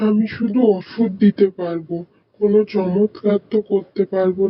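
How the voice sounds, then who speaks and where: A cartoonish character voice at middle pitch, monotone and flat, at a fairly slow pace. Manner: calm, matter-of-fact.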